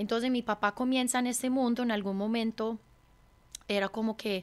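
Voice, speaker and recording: A woman speaks in a monotone, with flat intonation. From California, US (Hungarian mother, Colombian father). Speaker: chef and restaurant owner; interviewee. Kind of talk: interview conversation. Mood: warm, reflective storytelling. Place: studio. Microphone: studio mic.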